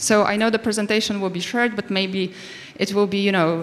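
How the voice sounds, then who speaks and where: At a fairly quick pace, a woman with a non-native accent talks at a medium pitch. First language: not English. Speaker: conference speaker. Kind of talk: conference talk. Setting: stage with audience. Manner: halting.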